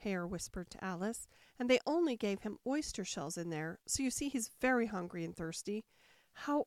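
Lively intonation throughout a plain read-aloud passage

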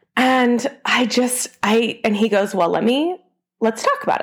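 The tone is animated, with ordinary pitch variation. Vocal fry runs through the speech. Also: woman. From small town. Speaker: podcast host and fitness instructor. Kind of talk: motivational monologue.

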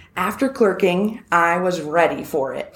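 This woman has an American accent and a fairly low pitch. Room echo can be heard around her voice. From US Northeast, New Hampshire. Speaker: property attorney. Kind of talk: interview. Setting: studio, same room as host.

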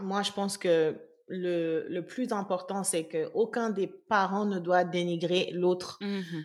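In a very clean recording with a silent background, a woman talks at a very slow pace. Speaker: podcast host. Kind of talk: casual chat.

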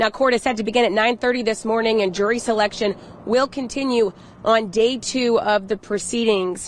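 At a moderate pace comes a plain, everyday voice. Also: woman. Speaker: podcast host and reporter. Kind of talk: news reading. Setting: outdoors. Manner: chatty, upbeat.

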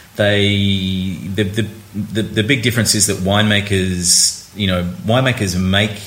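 Against noticeable background noise, a man with an Australian accent talks in a very deep, low pitch with fairly even intonation. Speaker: wine critic, senior editor. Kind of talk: casual chat. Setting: on location at a wine tasting. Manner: halting, many repetitions and fillers.

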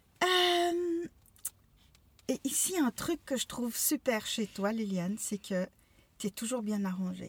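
Somewhat breathy and fairly high-pitched, a woman talks at a very slow pace with very wide pitch swings and long, frequent pauses, in a dry, close sound with no echo. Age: 50s. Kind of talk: casual chat.

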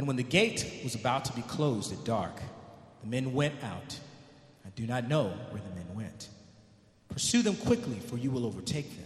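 A man's medium-pitched voice at a moderate pace, lively in intonation, with big swings in loudness and long, frequent pauses. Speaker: church member. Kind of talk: reading aloud. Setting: church.

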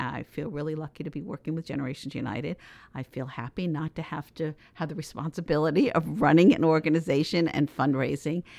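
A woman with a very deep, low pitch and ordinary pitch variation talks at a very fast pace in a very clean recording with a silent background and a dry, close sound with no echo. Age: 70s. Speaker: intergenerational program consultant. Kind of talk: interview.

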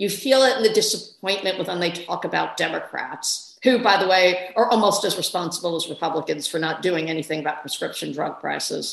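A woman talks in an unremarkable speaking voice at medium pitch. Her pace is fairly quick and her intonation lively. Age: 50s. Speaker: newspaper columnist and author. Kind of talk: interview conversation.

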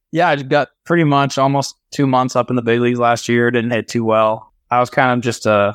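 A man's normal speaking voice at a medium pitch and fairly quick pace, dry and close with no echo, against a quiet background. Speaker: professional baseball player. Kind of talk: interview. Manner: casual, laughs often.

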